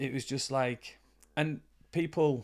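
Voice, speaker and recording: The speaker talks in a Yorkshire accent. The recording is very clean, with a silent background. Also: man. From northern England, York. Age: 40s. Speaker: boxing coach and counsellor. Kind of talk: casual interview chat.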